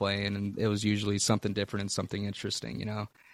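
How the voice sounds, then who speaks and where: A man with a fairly low pitch speaks on a very clean recording with a silent background. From Texas, born in Louisiana. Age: 20s. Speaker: blues rock musician. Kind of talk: casual interview.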